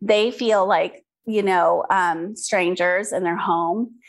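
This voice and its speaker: At a very slow pace, a woman speaks with a medium pitch and fairly even intonation over a quiet background. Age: 50s. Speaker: skincare entrepreneur. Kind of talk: interview.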